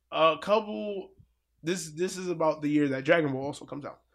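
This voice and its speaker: On a very clean recording with a silent background, a man speaks loudly in a fairly high pitch with ordinary pitch variation. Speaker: fighting game commentator. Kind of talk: casual chat.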